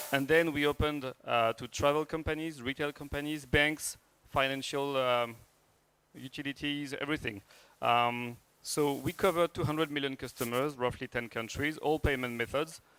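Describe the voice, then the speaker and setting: A man with a French accent, fairly high-pitched, at a moderate pace, in a dry, close sound with no echo. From France. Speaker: startup founder and CEO. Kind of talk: startup pitch. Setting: stage with audience. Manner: hesitant, many fillers.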